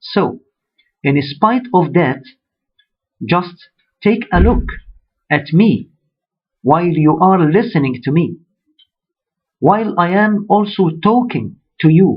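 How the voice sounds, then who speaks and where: Speaking in an Arabic accent, a man uses a high pitch and lively intonation at a very slow pace, with long, frequent pauses and very even loudness. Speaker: religious speaker. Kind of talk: sermon.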